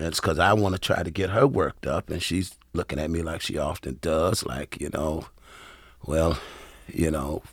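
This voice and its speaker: A man speaks at a very deep, low pitch with vocal fry and ordinary pitch variation. The recording is very clean, with a silent background. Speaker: pastor and seminary professor. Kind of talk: casual chat. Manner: halting.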